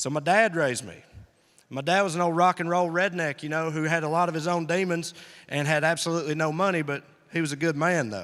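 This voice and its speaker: A man with a Southern accent talks very fast at a fairly high pitch. The recording is very clean, with a silent background. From US South, rural Tennessee. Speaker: comedian. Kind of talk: stand-up. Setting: stage with audience. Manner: animated.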